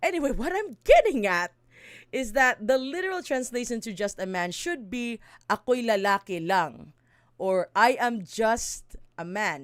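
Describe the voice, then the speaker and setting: Very wide pitch swings mark this voice with a Visayan Filipino accent on a very clean recording with a silent background. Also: woman, fairly high pitch for a woman, moderate pace. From Mindanao, Philippines. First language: Bisaya (Cebuano). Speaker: streamer and song translator. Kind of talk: casual live stream explanation. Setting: live stream. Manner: halting, many fillers and self-corrections.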